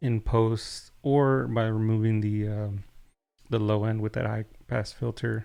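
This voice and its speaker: The speech moves at a fairly slow pace. Music is heard in the background. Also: man. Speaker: tech reviewer, streamer. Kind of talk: product review on live stream. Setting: live stream. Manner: casual, conversational.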